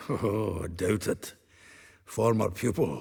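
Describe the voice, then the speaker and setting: A man puts on a character voice that is raspy and fairly low. He speaks at a fairly slow pace. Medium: video game. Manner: jovial, laughing.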